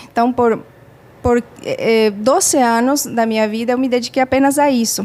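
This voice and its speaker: In a Spanish accent, a woman holds a high pitch with fairly even intonation and very even loudness. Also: moderate pace. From Bolivia. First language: Spanish (speaking Portuguese). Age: 40s. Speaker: psychologist and parenting educator. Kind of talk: casual interview. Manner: halting, many fillers.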